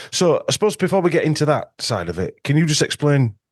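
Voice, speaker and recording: In a Yorkshire accent, a man talks at a fairly quick pace with a fairly high pitch. The sound is dry and close with no echo, over a quiet background. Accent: Yorkshire northern English. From Yorkshire, northern England. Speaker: podcast host and ozone clinic owner. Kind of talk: casual interview chat. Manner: hesitant with many fillers.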